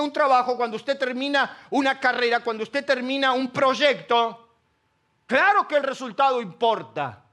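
At a moderate pace, a man speaks in a raised, projected voice with an animated tone and an extremely high pitch. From Argentina, Buenos Aires (La Matanza). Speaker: pastor. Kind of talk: sermon. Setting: church auditorium with audience.

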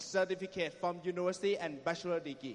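A man's voice with ordinary pitch variation. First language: Thai (speaking Portuguese). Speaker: network marketing business speaker. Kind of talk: motivational talk with interpreter.

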